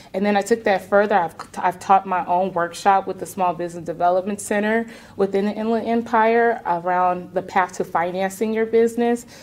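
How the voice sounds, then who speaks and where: Fairly quick in pace, a woman speaks with fairly even intonation. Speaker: realtor and business coach. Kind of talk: interview. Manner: direct. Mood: confident, reflective. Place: studio.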